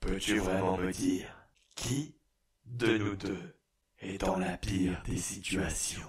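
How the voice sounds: A raspy, put-on character voice from a man, very deep and low, fairly slow with long, frequent pauses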